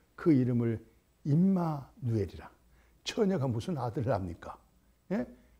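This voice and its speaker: With a dark, mellow tone and a somewhat breathy quality, a man talks at a medium pitch and a fairly slow pace, his pitch swinging very widely. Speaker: pastor. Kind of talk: sermon. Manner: raised, emphatic intonation; animated.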